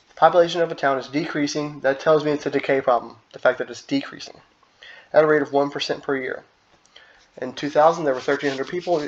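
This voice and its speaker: A man talks at a very fast pace in a monotone, flat intonation with fairly high pitch. His loudness swings in big jumps. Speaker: high school math teacher. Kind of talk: recorded lesson video. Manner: halting, with restarts.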